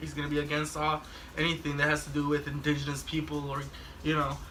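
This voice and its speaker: Speaking at a fairly quick pace, a man with a fairly high voice is heard over noticeable background noise and audible room echo. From Mexico. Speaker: talk show host. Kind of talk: casual chat. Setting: drinking session with friends.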